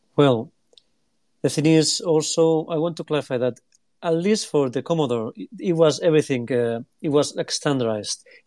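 A man with a non-native accent and a dark, mellow, fairly high voice speaks at a moderate pace with ordinary pitch variation and long, frequent pauses. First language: not English. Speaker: retro computer collector. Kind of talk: casual chat. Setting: online audio room.

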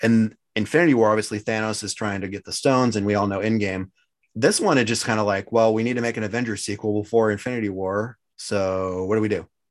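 Talking at a very fast pace, a man keeps his fairly low voice to fairly even intonation. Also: very clean recording, silent background. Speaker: podcast host. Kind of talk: casual chat. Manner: casual, chatty.

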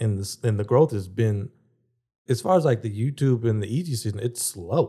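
This man's dark, mellow voice is somewhat breathy, moving at a moderate pace with ordinary pitch variation. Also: medium pitch for a man. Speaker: podcast co-host. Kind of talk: casual chat.

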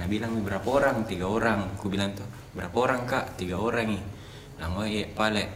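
Very fast speech from a man, fairly even in intonation, with audible room echo and noticeable background noise. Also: fairly low pitch for a man. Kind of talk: casual chat, horror storytelling.

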